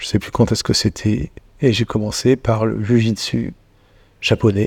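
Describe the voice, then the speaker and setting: The sound is dry and close, with no echo and a very clean recording over a silent background. The tone is dark and mellow, and the intonation stays fairly even. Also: man. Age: 50s. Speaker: shiatsu practitioner and tai chi student. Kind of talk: casual chat.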